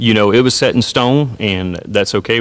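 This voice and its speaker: Speaking at a fairly quick pace, a man talks with a Southern US accent. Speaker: high school football coach. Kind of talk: interview. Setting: hotel media day event.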